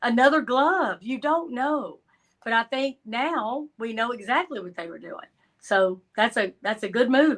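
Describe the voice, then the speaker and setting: In a Georgia accent, the speaker talks at a fairly slow pace with lively intonation and big swings in loudness. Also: woman, high pitch for a woman. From Georgia, US South. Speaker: crime analyst guest. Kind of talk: casual interview chat.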